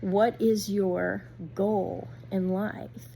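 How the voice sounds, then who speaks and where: A woman talks at a medium pitch with a dark, mellow tone and a somewhat breathy quality. Her pitch swings very widely, and the recording is very clean against a silent background. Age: 60s. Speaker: youtuber, homesteader and gardener. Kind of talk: casual vlog talk to viewers.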